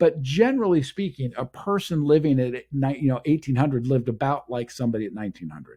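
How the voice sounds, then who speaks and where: Against a quiet background, a man at medium pitch rushes along at a very fast pace with hardly any pauses, his dark, mellow tone somewhat breathy and his loudness swinging widely. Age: 60s. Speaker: show host and speaker on future technology. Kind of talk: solo monologue on technology trends. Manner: halting with self-corrections.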